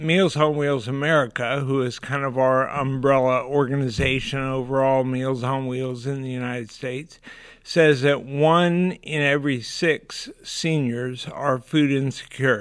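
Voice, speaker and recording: A man's plain, everyday voice at a medium pitch, fairly slow with hardly any pauses and fairly even intonation, on a very clean recording with a silent background. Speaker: nonprofit executive director. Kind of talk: casual interview.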